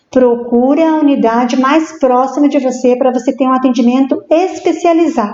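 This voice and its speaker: The voice keeps very even loudness and ordinary pitch variation at a moderate pace, with hardly any pauses. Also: woman, high pitch for a woman. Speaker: psychologist. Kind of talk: interview on live stream. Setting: live stream. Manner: halting.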